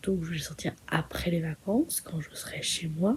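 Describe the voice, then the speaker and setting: Soft-spoken and somewhat breathy, a woman talks at a fairly slow pace in a dark, mellow tone with ordinary pitch variation. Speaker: vlogger. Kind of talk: vlog outro talking to camera. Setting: indoors at night in holiday accommodation. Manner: soft-spoken, quiet.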